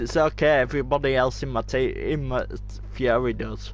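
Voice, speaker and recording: There is music behind the voice. The man's speech runs at a moderate pace. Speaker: gamer streamer. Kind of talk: casual gaming stream commentary. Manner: hesitant, many fillers.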